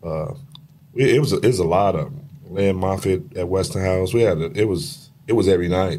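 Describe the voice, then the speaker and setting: Moderately paced male voice, very deep and low, with lively intonation and audible room echo. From Chicago, west side. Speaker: retired high school basketball coach. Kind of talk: casual interview chat.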